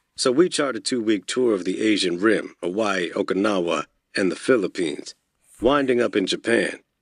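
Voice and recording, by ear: With a quiet background, the passage is read aloud in a natural voice that has lively intonation.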